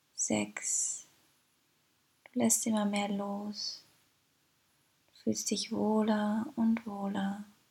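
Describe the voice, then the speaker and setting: Very slow, soothing, gentle speech with long, frequent pauses. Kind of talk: guided meditation. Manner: slow, soothing and gentle, with calm pauses and repeated phrases; warm, inviting, addressing the listener as 'du'.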